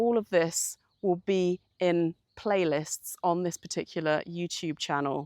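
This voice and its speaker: Speaking at a very slow pace with a British accent, the voice has a dry, close sound with no echo. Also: woman. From United Kingdom. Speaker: communications coach. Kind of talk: channel introduction. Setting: outdoors in the countryside.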